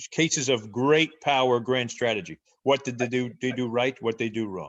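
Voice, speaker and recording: A man speaks in a New Jersey accent at a medium pitch. His pace is moderate and his intonation fairly even. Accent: New Jersey American English. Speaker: professor. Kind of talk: interview.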